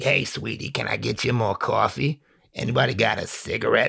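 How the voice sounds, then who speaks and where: A man's put-on character voice, raspy, at a fairly quick pace. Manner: friendly, chatty.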